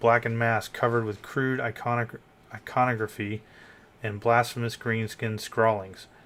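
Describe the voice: Text is read out loud here. Nothing about the reading is dressed up; it is plain.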